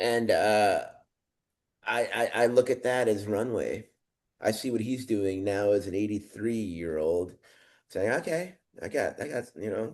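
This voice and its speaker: An American-accented man speaks at a fairly slow pace and a medium pitch, with ordinary pitch variation and long, frequent pauses, against a quiet background. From Chicago, US Midwest. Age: 50s. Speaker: musician. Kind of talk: casual chat.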